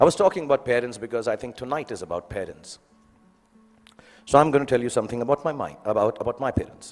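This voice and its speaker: A man with an Indian accent speaks at a medium pitch. Music plays in the background. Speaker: film actor. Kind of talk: graduation speech. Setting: live audience, school event. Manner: humorous, conversational.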